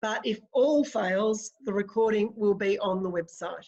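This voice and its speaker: Fairly high-pitched, fairly slow speech from a woman with an Australian accent. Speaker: webinar facilitator, academic. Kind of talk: webinar moderation. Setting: video call.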